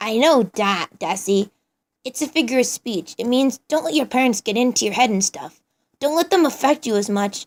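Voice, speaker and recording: At a moderate pace, a woman uses a put-on character voice with a high pitch. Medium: read story. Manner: casual slangy, upbeat.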